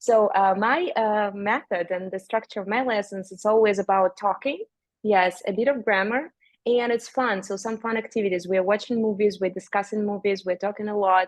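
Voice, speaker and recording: A speaker with a Russian accent talks at a moderate pace with fairly even intonation. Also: woman, medium pitch for a woman. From Siberia, Russia. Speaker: language teacher and author. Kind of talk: casual interview chat. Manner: halting.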